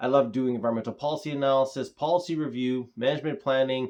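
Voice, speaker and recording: A man with a Canadian accent has a plain, everyday voice at a fairly high pitch. His intonation is fairly even, over a quiet background. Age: 30s. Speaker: environmental consultant. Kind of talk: self-introduction pitch.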